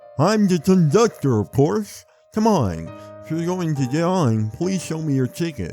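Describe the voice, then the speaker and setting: Putting on a character voice, a man speaks at a moderate pace in a fairly high pitch, with faint music in the background. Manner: cartoonish, gruff but friendly.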